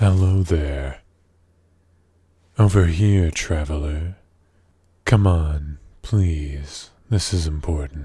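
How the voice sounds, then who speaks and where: Putting on a character voice, a man speaks very slowly at a very deep, low pitch, with long, frequent pauses. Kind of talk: ASMR roleplay. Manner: polite, coaxing.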